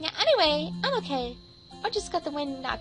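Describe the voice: Over clear background music, a female-sounding voice in a put-on character voice speaks at a high pitch and a fairly quick pace.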